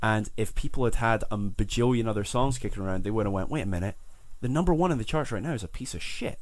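A man speaks at a very fast pace. His pitch is medium and his intonation lively. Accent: Scottish. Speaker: podcast host. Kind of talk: casual chat. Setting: small room.

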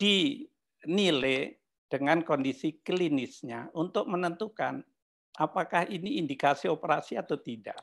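Over a quiet background, the speaker goes at a very slow pace with ordinary pitch variation. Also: man. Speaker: neurosurgeon. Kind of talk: panel commentary. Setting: video call. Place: meeting room.

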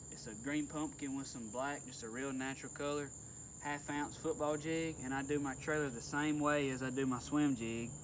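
Over noticeable background noise, a man speaks at a moderate pace. His delivery is flat and monotone. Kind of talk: tutorial. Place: boat. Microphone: phone near.

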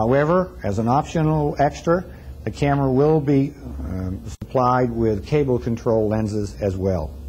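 The voice moves through very wide pitch swings at a moderate pace. Light background noise can be heard. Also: man, medium pitch for a man. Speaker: company product presenter. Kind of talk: 1974 product demo narration, corporate sales presentation. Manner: formal; measured, businesslike. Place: studio.

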